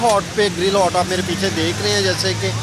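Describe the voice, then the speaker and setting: At a moderate pace, a man speaks with crowd noise in the background and a dry sound with no echo. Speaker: food vlogger. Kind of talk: casual vlog chat. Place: street. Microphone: phone near.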